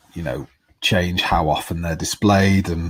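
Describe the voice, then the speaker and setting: Somewhat breathy, a man's very deep, low voice moves with ordinary pitch variation. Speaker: tutorial creator. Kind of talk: tutorial.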